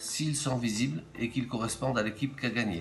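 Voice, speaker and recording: Over music in the background, the voice shows ordinary pitch variation. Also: man. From Hautes-Alpes, France. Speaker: game inventor. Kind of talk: game rules explanation.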